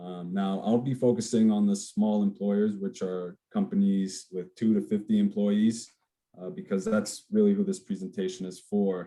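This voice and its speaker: An American accent colors this man's dark, mellow tone as he speaks at a moderate pace in a fairly low pitch with monotone, flat intonation. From New Jersey, Dominican American family. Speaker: insurance benefits advisor. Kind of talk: webinar presentation.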